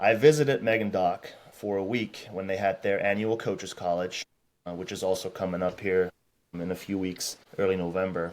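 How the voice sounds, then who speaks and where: Speaking at a fairly quick pace, a man with an American accent uses ordinary pitch variation. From Germany. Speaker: strength and conditioning coach. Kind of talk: podcast interview. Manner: conversational, with filler words and restarts.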